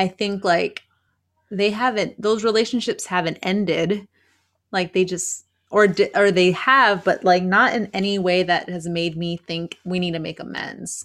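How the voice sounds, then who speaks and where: On a very clean recording with a silent background, a woman talks at a fairly slow pace in an ordinary speaking voice, with medium pitch and fairly even intonation. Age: 30s. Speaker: podcast co-host. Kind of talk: casual chat.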